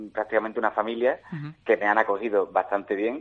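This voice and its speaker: A man's flat, monotone delivery in an Andalusian accent. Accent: marked Andalusian. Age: 30s. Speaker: voice actor and radio announcer. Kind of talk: interview. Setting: phone call. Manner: repetitive, stammering.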